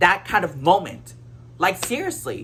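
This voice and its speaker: Vocal fry paired with very wide pitch swings. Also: woman. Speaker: YouTuber. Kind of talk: casual rant to camera. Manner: halting, many fillers and restarts.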